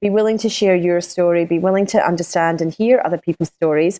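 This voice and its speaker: A woman's medium-pitched, dark, mellow voice in a Scottish accent, with ordinary pitch variation and a dry, close sound with no echo. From Scotland. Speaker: business coach. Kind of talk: interview.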